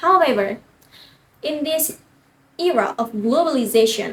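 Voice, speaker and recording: A woman talks at a moderate pace. She has an Indonesian accent. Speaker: university student speech contestant. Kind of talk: prepared competition speech. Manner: formal.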